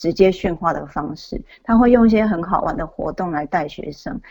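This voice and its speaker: A woman speaks at a fairly quick pace, her voice making very wide pitch swings. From Taiwan. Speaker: author. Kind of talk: interview.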